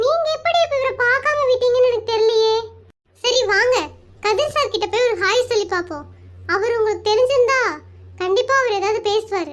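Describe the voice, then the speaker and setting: A woman speaks in a cartoonish character voice. Her pitch is extremely high, and her pace is moderate. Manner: caring, talkative.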